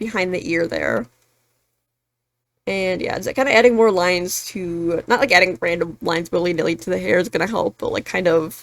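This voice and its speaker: Her voice, a woman's at a fairly low pitch, carries vocal fry and lively intonation at a moderate pace. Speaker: webtoon artist. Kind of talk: casual drawing tutorial narration. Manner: hesitant, many filler ums.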